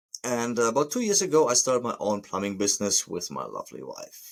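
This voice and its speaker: Speaking fairly quickly, a man talks in a German accent. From Germany. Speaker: plumber and podcast host. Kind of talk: podcast monologue. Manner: halting, with hesitations.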